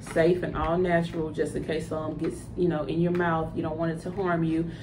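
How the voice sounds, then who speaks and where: Over noticeable background noise, a woman speaks at a fairly low pitch in a Southern US accent. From US South, Louisiana (Ruston); Louisiana. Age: 30s. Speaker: cosmetics entrepreneur. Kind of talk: tutorial. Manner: casual, hesitant with fillers. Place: home room. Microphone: phone near.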